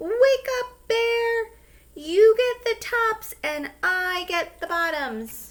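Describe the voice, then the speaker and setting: A woman puts on a squeaky character voice at an extremely high pitch. She speaks at a very slow pace. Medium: read story. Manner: friendly, smooth-talking.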